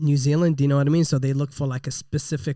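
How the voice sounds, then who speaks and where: A man with a fairly high pitch speaks in a dark, mellow tone with monotone, flat intonation. The sound is dry and close with no echo. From Middle East (Iraq-born, raised partly in UAE). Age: 30s. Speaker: rapper and gym owner. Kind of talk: interview. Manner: casual, filler-heavy.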